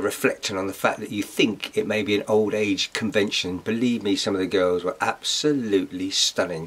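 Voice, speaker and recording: A man's fairly low-pitched voice with an English accent. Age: 60s. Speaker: vlogger. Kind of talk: casual vlog talk.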